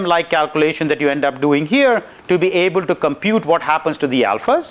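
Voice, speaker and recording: Lively intonation marks a man's speech. He goes at a fairly quick pace. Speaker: university lecturer. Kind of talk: lecture. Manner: fast.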